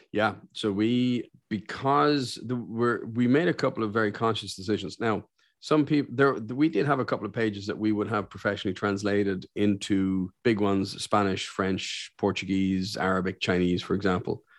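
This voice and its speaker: With an Irish accent, a man speaks at a fairly low pitch and a moderate pace, with ordinary pitch variation, hardly any pauses, and a quiet background. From Ireland. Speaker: business owner and career coach. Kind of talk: interview. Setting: remote call.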